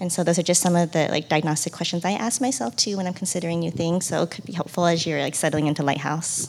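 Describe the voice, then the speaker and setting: The speech races along at a very fast pace with hardly any pauses and ordinary pitch movement. Noticeable noise runs in the background. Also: woman, fairly low pitch for a woman. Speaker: stay-at-home mom. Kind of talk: panel Q&A.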